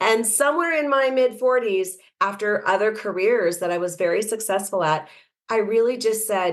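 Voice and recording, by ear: At a moderate pace, a woman talks at medium pitch with ordinary pitch variation.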